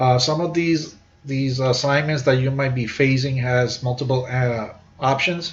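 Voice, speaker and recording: A somewhat breathy man with a non-native accent, medium pitch, fairly even intonation, and a fairly slow pace, amid audible room echo. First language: not English. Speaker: university instructor; army veteran. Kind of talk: lecture. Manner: halting, many fillers and repeats.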